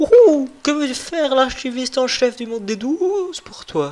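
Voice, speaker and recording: Someone performs a put-on character voice with high pitch. The pace is moderate. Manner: playful, theatrical.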